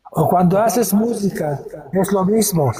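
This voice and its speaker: At a very slow pace, a man talks in a high voice. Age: 80s+. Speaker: painter and musician. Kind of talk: casual chat. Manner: halting.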